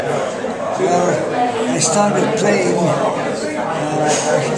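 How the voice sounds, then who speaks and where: A man talks over loud background noise. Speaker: veteran tennis player. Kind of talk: interview answer. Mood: cheerful, relaxed. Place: hall. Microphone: phone near.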